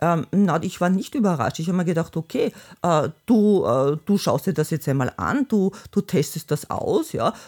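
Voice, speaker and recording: In a plain, everyday voice, a woman with a fairly low pitch talks at a moderate pace with lively intonation and very even loudness. The recording is very clean, with a silent background and a dry, close sound with no echo. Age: 60s. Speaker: host's mother, retiree. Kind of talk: casual interview. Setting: family home.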